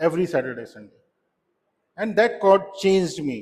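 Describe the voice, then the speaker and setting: Moderately paced speech from a man with a high pitch. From India. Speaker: solution architect, club speaker. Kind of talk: prepared club speech. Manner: halting, with many fillers.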